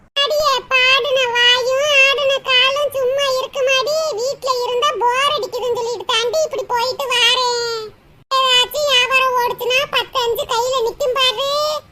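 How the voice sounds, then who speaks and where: This cartoonish character voice is squeaky and female-sounding, pitched extremely high and delivered at a very slow pace in a flat monotone. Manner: chatty, gossipy.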